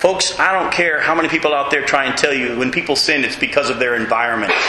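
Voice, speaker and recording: A man's fairly high-pitched voice at a fairly quick pace, ordinary pitch variation, with audible room echo and noticeable background noise. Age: 40s. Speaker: Bible study teacher. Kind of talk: Bible study lecture. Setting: room with live group, streamed on web.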